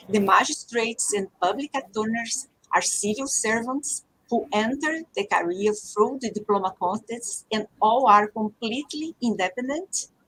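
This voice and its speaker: At a moderate pace, a woman with a Portuguese accent speaks at a fairly high pitch with ordinary pitch variation and a dry, close sound with no echo. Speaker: judge. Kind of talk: panel discussion. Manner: halting.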